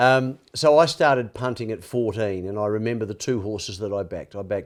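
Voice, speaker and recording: On a very clean recording with a silent background, a medium-pitched man with an Australian accent speaks fairly quickly with ordinary pitch variation. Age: 60s. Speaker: former sports reporter, addiction advocate. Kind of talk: podcast interview. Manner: halting.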